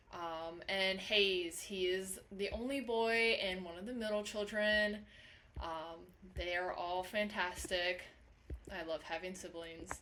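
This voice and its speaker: A woman speaks at a very slow pace. Audible room echo fills the recording. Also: medium pitch for a woman. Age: 20s. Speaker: college instructor. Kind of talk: lecture. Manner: animated.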